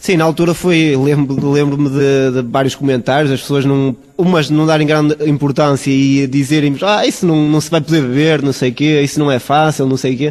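Fairly high-pitched man at a moderate pace, with hardly any pauses, fairly even intonation and very even loudness, over noticeable background noise. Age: 20s. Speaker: brewery founder and researcher. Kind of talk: interview. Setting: on location at the brewery.

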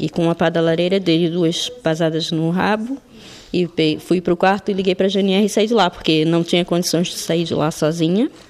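Noticeable background noise sits under a woman's voice. She keeps a moderate pace and fairly even intonation. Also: fairly low pitch for a woman. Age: 40s. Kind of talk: testimony.

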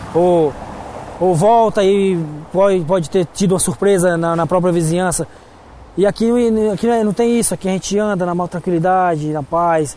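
With long, frequent pauses, a man speaks at a high pitch and fairly even intonation. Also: moderate pace. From Brazil. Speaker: restaurant manager. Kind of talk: interview. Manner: halting.

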